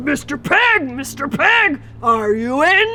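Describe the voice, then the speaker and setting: A high-pitched put-on character voice at a fairly slow pace, with clear background noise. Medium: read story.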